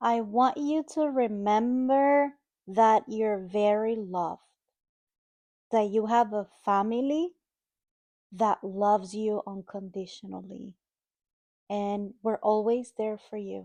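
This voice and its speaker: A woman with a Dominican accent speaks in a dark, mellow, warm tone with ordinary pitch variation. Her very slow delivery has long, frequent pauses over a quiet background. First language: Spanish. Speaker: mother of the host. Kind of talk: casual chat. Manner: warm, halting.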